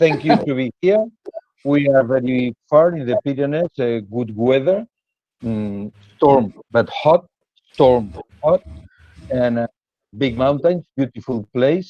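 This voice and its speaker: Speaking in a Spanish accent, a man with a medium-pitched voice and a dark, mellow tone moves at a very slow pace, leaving long, frequent pauses, his intonation lively. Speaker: cheese specialist. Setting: video call. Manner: halting. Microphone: bad internet connection.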